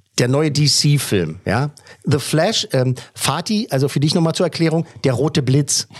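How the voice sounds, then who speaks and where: Speaking at a fairly slow pace, a man with a fairly high pitch sounds somewhat breathy, keeps a very even loudness and shows ordinary pitch variation. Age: 40s. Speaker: film podcast host. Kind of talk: casual chat, interview.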